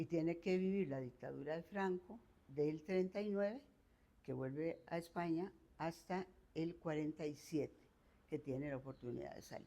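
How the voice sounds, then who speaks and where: Her dark, mellow tone sits at a fairly low pitch as this woman talks at a moderate pace with ordinary pitch variation. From Costa Rica, San José. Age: 70s. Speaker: retired professor. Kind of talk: life story interview.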